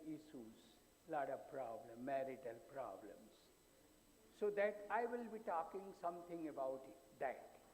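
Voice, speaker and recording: A man with a fairly high pitch speaks at a very slow pace, with audible room echo around him. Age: 80s+. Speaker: psychologist. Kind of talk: conference talk.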